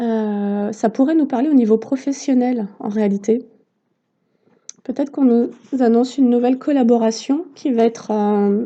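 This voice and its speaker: A quiet woman with a high pitch and a dark, mellow tone speaks at a fairly slow pace with fairly even intonation and long, frequent pauses. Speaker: tarot reader and therapist. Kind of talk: tarot card reading. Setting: on a deck, outdoors in the sun. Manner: hesitant.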